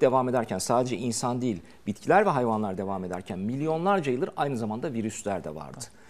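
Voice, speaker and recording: Here a man talks at a fairly quick pace. His pitch makes very wide swings. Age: 50s. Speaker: doctor; TV guest. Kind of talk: TV talk show interview. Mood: reassuring, dismissive of scare news. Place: studio. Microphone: lapel.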